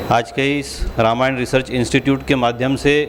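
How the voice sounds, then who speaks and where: Noticeable background noise sits behind this man. His medium-pitched voice is monotone and flat. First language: Marathi (speaking Hindi). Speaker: state legislator. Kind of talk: formal speech at award ceremony. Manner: formal.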